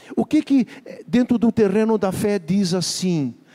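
Against noticeable background noise, a man with a high pitch speaks at a fairly slow pace, his pitch varying in an ordinary way. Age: 60s. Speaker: pastor. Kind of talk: sermon.

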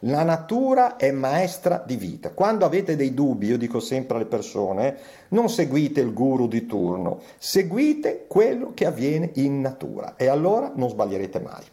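At a moderate pace, a man with a fairly high pitch and a dark, mellow tone swings his pitch very widely, with vocal fry in his voice. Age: 60s. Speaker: physician. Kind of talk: interview.

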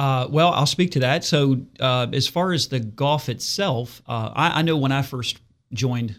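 Someone with an American accent talks in a plain, everyday voice with ordinary pitch variation, captured on a very clean recording with a silent background. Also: man. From Martinsburg, West Virginia. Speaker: insurance agent. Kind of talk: radio interview. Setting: studio.

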